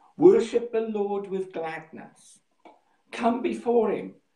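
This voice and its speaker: A man with ordinary pitch variation, audible room echo and a quiet background. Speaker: pastor. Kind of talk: sermon. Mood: warm, calm. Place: home room. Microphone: phone near.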